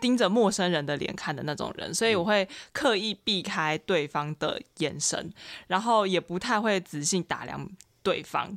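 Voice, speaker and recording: A woman with a plain, everyday voice speaks at medium pitch and a moderate pace with ordinary pitch variation on a very clean recording with a silent background. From Taiwan, Xinzhuang. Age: 20s. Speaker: university student. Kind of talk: casual chat.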